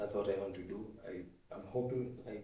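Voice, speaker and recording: In a Kenyan accent, a man with a fairly low, somewhat breathy voice speaks in a monotone, flat intonation amid audible room echo. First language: Swahili. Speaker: vlogger. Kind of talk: casual monologue. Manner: halting.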